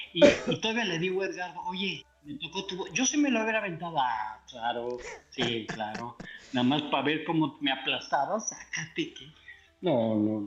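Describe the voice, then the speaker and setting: Very wide pitch swings in a man's moderately paced speech. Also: fairly high pitch for a man. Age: 60s. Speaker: mobile game player. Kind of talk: casual chat.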